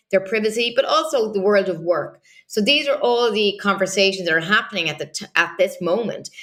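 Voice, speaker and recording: Bright and sharp in tone, a woman with an Irish accent talks at a fairly quick pace with ordinary pitch variation. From Ireland. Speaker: political journalist. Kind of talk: interview analysis.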